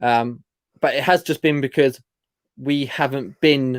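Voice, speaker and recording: A man with a British accent, in a dry, close sound with no echo. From UK. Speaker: online reseller and channel co-host. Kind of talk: casual live-stream chat. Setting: live stream. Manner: fast.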